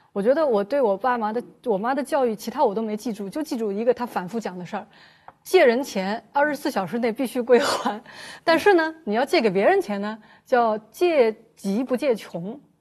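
With lively intonation, a woman speaks fairly quickly at a fairly high pitch in a plain, everyday voice. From Shanghai. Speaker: journalist. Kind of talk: casual chat.

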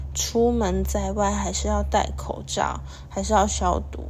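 Noticeable background noise and audible room echo surround a woman who talks at a fairly slow pace. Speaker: podcast host. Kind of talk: casual solo podcast talk.

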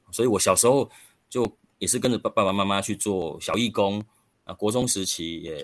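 At a moderate pace, a man talks in an ordinary speaking voice, fairly low in pitch with ordinary pitch variation. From Taiwan, rural Chiayi County. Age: 40s. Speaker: local council candidate. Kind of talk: interview.

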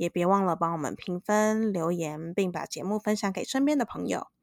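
A woman with a plain, everyday voice speaks at a fairly quick pace and medium pitch, in a dry, close sound with no echo on a very clean recording with a silent background. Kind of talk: casual chat; scripted outro.

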